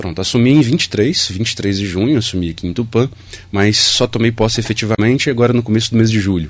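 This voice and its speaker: Noticeable background noise under a very fast delivery, its pitch varying in an ordinary way. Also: man, medium pitch for a man. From Brazil, Minas Gerais. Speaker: electoral office chief. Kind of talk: radio interview.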